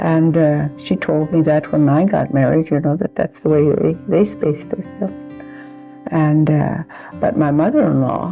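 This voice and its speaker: A woman talks with a very deep, low pitch at a fairly slow pace. Music plays in the background. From rural homestead. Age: 80s+. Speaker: centenarian interviewee. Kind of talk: casual chat. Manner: halting.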